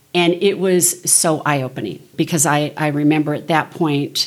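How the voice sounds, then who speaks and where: Speaking at a fairly slow pace with an American accent, a woman uses a very deep, low pitch and fairly even intonation. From Southern California. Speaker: small group leader. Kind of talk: interview.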